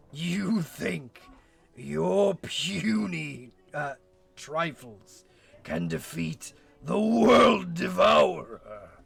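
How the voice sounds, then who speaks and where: Cackling in a raspy, put-on character voice, a man speaks at a very slow pace with music in the background. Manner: cackling, menacing, sinister.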